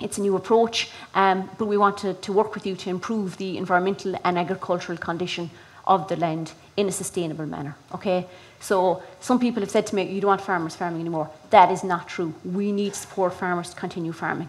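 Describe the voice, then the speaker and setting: Speaking very fast with a Kerry accent, a woman keeps her intonation fairly even. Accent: Kerry Irish. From Ireland, County Kerry; Ireland. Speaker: rural development project manager. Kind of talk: presentation to farmers. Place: hall.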